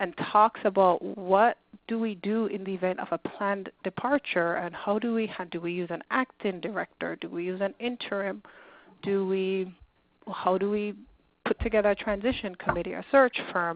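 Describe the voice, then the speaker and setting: A normal speaking voice, fairly even in intonation, moving at a moderate pace. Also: woman, medium pitch for a woman. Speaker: nonprofit leadership consultant. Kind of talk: webinar presentation.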